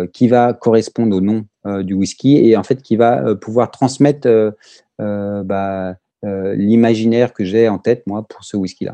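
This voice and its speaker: Low and dark in tone, a man's voice moves at a very slow pace with fairly even intonation. The sound is dry and close, with no echo. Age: 40s. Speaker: whisky maker. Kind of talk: interview. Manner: halting.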